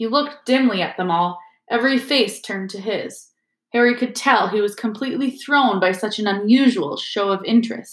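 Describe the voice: Over a quiet background comes plain reading aloud, its pitch varying in an ordinary way.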